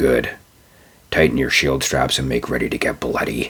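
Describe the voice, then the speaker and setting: A man whispers quietly in a put-on character voice. His raspy delivery moves at a moderate pace. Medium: read story. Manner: terse, quiet commands.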